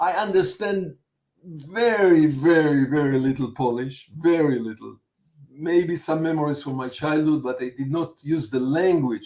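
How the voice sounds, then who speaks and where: A dark, mellow, fairly high-pitched male voice with ordinary pitch variation. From Israel. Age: 70s. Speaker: film director. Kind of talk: interview. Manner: repetitive, halting.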